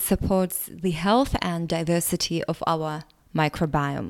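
This is a woman speaking. She has a Russian accent. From Latvia. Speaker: podcast host. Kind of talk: solo monologue podcast.

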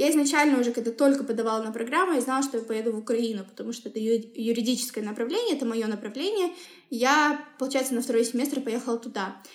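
Over noticeable background noise, a woman with a high pitch speaks at a very fast pace with ordinary pitch variation. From Kazakhstan, Semey. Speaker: human rights professional. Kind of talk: interview. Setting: podcast recording.

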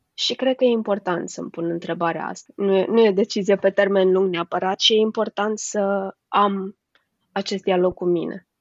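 A woman talks in a plain, everyday voice at a medium pitch. Her pace is moderate. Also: fairly even intonation. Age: 30s. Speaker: HR manager and coach. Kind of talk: interview.

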